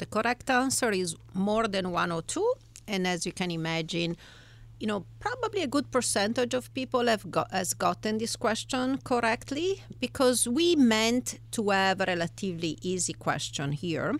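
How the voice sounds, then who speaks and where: At a moderate pace, a woman talks with an Italian accent. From Italy. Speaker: economics professor. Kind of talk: interview. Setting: studio.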